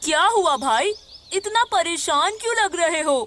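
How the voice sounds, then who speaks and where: An extremely high-pitched cartoonish character voice speaks at a moderate pace. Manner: calm, sympathetic.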